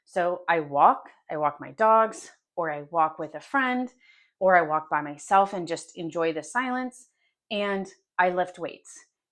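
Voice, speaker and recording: A woman's fairly low, lively voice with an American accent, a normal speaking voice, big swings in loudness, a fairly slow pace and a quiet background. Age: 40s. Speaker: lifestyle vlogger. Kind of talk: casual monologue.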